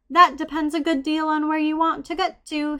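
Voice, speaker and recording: A woman uses a put-on character voice, high-pitched and monotone with flat intonation, at a moderate pace. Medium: read story. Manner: sly, cryptic.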